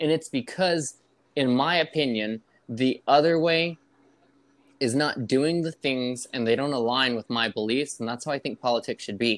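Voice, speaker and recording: Dry and close with no echo, the recording holds a man's unremarkable speaking voice at medium pitch, moderate pace and ordinary pitch variation. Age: 20s. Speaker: podcast co-host. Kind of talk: casual chat. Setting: remote online call.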